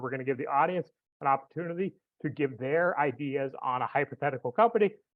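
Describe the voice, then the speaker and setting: A man's ordinary speaking voice, with lively intonation at a moderate pace. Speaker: foundation director and entrepreneur giving a talk. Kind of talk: online presentation. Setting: online webinar with chat.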